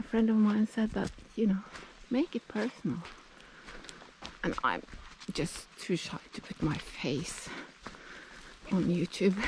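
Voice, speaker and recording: With a Norwegian accent, a woman speaks at a medium pitch with lively intonation. She pauses long and often, and there is noticeable background noise. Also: fairly slow pace. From Norway, Oslo. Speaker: nature vlogger. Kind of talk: casual vlog narration while hiking. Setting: outdoors, hiking in forest. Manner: casual, hesitant with fillers; slightly breathless while walking.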